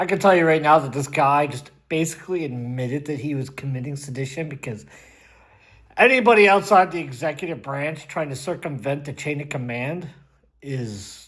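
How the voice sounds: A man at a moderate pace, ordinary pitch variation and big swings in loudness throughout.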